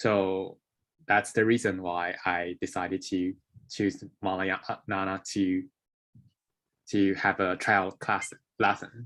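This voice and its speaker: With a Taiwanese accent, a man speaks at a very slow pace with long, frequent pauses, his fairly low voice flat and monotone. The recording is very clean, with a silent background. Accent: Taiwanese Mandarin-accented English. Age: young. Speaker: English learner. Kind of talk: interview. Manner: halting.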